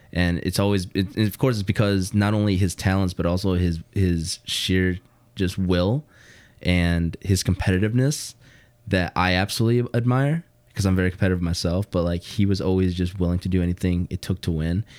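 Very deep and low in pitch, a man with a Chicago accent speaks with fairly even intonation in a very clean recording, the background silent and the sound dry and close with no echo. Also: fairly quick pace. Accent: Chicago-area American. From US Midwest, Hammond Indiana (Chicagoland). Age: 20s. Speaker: co-worker of host, video producer. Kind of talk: casual chat.

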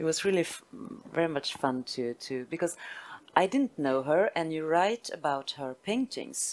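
A woman with a Swedish accent speaks in a very deep, low voice, her pitch swinging very widely. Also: moderate pace. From northern Sweden (Västerbotten). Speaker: literary translator and publisher. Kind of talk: onstage literary conversation. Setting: stage with audience. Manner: halting.

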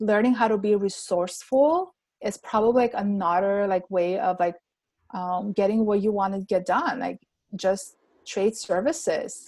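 This woman speaks with an Armenian accent. Her pace is moderate. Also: medium pitch for a woman, ordinary pitch variation. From Armenia (Yerevan). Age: 30s. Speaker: pharmacist and entrepreneur. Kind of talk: podcast interview.

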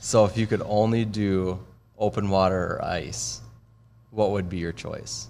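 A man with an American accent and vocal fry talks at a fairly slow pace with lively intonation. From Minnesota. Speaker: social media staffer. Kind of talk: interview questions. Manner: casual.

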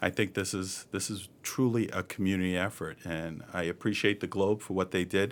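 The speaker has an American accent and talks at a moderate pace on a very clean recording with a silent background. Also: man. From Boston, Massachusetts (East Boston). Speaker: health center CEO. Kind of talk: interview.

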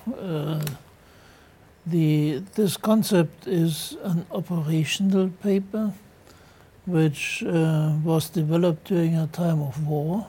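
Over noticeable background noise, a man with a German accent speaks at a very slow pace in a high pitch with ordinary pitch variation. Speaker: retired general. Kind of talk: panel discussion. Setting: studio.

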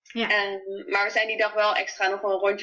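Speaking at a moderate pace, a woman has a bright, sharp tone and medium pitch. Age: 20s. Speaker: new mother sharing birth story. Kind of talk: personal testimony interview. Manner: hesitant, many fillers.

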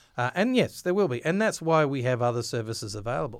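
Speaking with an Australian accent, a man keeps a fairly quick pace at a medium pitch with ordinary pitch variation. The recording is very clean, with a silent background. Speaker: government financial information officer. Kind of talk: interview.

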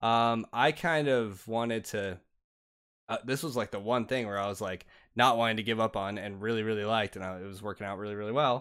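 The recording is very clean with a silent background as a man speaks fairly quickly at a medium pitch in an ordinary speaking voice. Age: 20s. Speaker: gaming podcast host. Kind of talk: casual chat.

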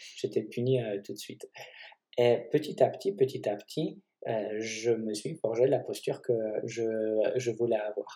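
A man with a Polish accent talks at a fairly slow pace, pausing long and often. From Poland. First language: Polish (speaking French). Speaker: physiotherapist and osteopath. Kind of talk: casual chat.

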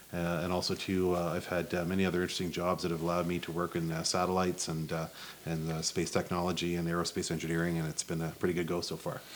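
Talking at a very fast pace, a man with a very deep, low pitch delivers his words in a monotone with flat intonation. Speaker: guest with space-program connections. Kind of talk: casual chat.

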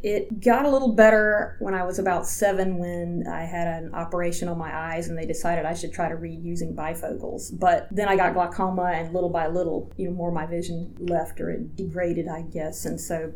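Amid noticeable background noise, a woman with an American accent talks at a fairly quick pace. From US South, Georgia. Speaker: statistician and rehabilitation counselor. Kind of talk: interview.

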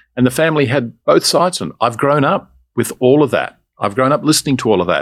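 Against a quiet background, a man with an Australian accent speaks at a very fast pace. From Australia, Melbourne. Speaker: business owner. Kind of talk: interview.

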